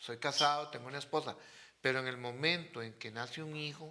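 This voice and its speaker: Fairly quick and fairly high-pitched, a man speaks with a bright, sharp tone. His intonation stays fairly even. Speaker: father of the host. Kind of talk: casual chat.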